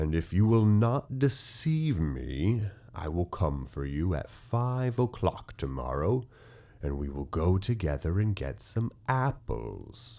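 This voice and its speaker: A man puts on a character voice with a very deep, low pitch and very wide pitch swings. He delivers it at a fairly slow pace. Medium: read story. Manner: wheedling and menacing.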